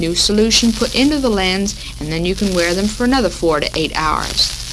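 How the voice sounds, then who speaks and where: A woman with an American accent speaks at a moderate pace in a medium pitch with ordinary variation. Noticeable background noise runs under her voice. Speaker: radio host. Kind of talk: 1940s women's radio talk show. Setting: radio broadcast, 1940s recording.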